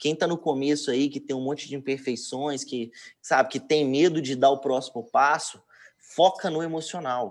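A very clean recording with a silent background: a man's moderately paced speech, its pitch variation ordinary. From Minas Gerais, Brazil (Betim). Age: 20s. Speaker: digital marketing entrepreneur. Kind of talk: casual interview. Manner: halting, frequent word repetitions.

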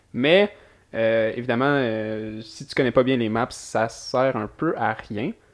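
A man with a Quebec accent. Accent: Québécois French. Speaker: podcast host. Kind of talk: casual chat.

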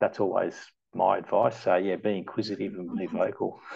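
Speaking in an Australian accent, this voice keeps a moderate pace. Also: man. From Melbourne western suburbs, Australia (born in Malta, migrated at 7). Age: 40s. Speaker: long-serving company employee, sales account manager. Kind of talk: casual interview chat.

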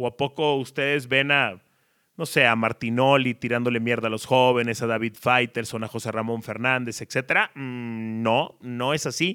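Here a man talks in a plain, everyday voice at medium pitch. His intonation is fairly even. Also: moderate pace. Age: 30s. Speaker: sports journalist and podcaster. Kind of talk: storytelling monologue.

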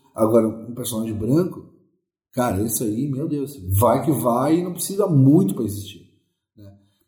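A man with a dark, mellow, somewhat breathy medium-pitched voice speaks at a moderate pace with lively intonation, big swings in loudness and long, frequent pauses, in audible room echo. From Porto Alegre, southern Brazil. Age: 40s. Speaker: musician and ghost tour guide. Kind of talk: interview.

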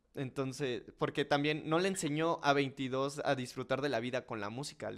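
A man speaks at a medium pitch in an unremarkable speaking voice. His pace is moderate. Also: very clean recording, silent background. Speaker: podcast host. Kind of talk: casual chat.

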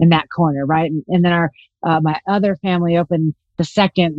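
A woman with an American accent and an ordinary speaking voice, fairly quick, fairly low in pitch, with ordinary pitch variation. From Los Angeles, California. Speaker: real estate investor. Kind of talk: interview.

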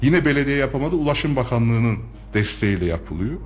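Audible room echo and noticeable background noise are present. Through them, a man delivers his words at a fairly quick pace. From Turkey, Kayseri. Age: 30s. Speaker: local politician and architect. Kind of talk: radio interview. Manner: frequent hesitation fillers.

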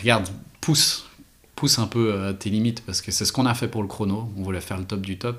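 A man talks at a very fast pace with a Vaud accent. His pitch sits fairly low. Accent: Swiss French (Vaud). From French-speaking Switzerland, Renens near Lausanne. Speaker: watchmaker and brand co-founder. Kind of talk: casual interview.

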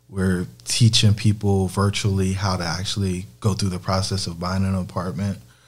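At a moderate pace with hardly any pauses, a man with an American accent speaks in a very deep, low pitch, somewhat breathy and with monotone, flat intonation. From US South. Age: 30s. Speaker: real estate investor. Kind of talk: interview. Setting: in person with host.

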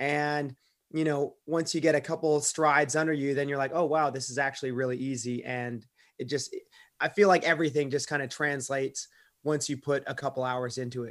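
A plain, everyday voice, a man with fairly high pitch speaks fairly quickly with fairly even intonation on a very clean recording with a silent background. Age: 30s. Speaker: professional kayaker and real estate investor. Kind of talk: podcast interview.

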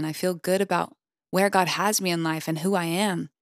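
A woman with an American accent and a plain, everyday voice speaks at a moderate pace and a medium pitch with ordinary pitch variation. The recording is very clean with a silent background and a dry, close sound with no echo. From US South. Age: 20s. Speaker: podcast host and singer-songwriter. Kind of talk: reading aloud. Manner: warm, upbeat.

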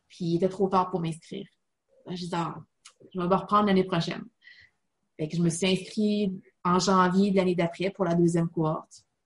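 A somewhat breathy voice with fairly even intonation, in a Quebec accent. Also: woman. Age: 30s. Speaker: online college student. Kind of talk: interview.

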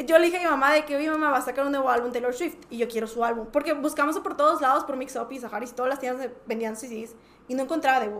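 A woman's high-pitched voice at a very fast pace, with ordinary pitch variation and noticeable background noise. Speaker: podcast guest, music fan. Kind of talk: casual chat.

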